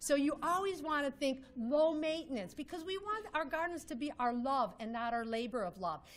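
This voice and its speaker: A woman speaks at a fairly quick pace in a high pitch. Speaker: landscape designer. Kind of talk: presentation. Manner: fast.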